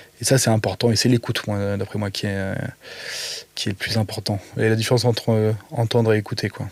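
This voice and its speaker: The speech moves at a fairly quick pace in a monotone, flat intonation, broken by long, frequent pauses. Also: man, fairly low pitch for a man. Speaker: podcast guest, creative in media and cooking. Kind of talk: casual interview chat. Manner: mumbling, halting with many fillers.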